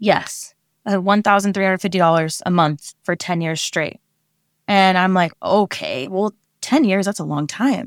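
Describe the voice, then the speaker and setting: In a very clean recording with a silent background and a dry, close sound with no echo, a woman with an American accent uses a plain, everyday voice at a medium pitch, with ordinary pitch variation and a moderate pace. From Oregon, US. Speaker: behavioral therapist. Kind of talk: interview. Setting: her office at work.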